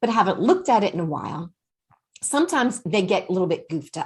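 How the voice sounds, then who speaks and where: Very wide pitch swings run through the somewhat breathy voice of a woman. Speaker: workshop presenter. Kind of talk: online workshop presentation.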